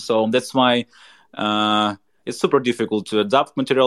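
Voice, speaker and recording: This man speaks with a Ukrainian accent and fairly even intonation. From Ukraine. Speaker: stand-up comedian. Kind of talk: interview. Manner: halting.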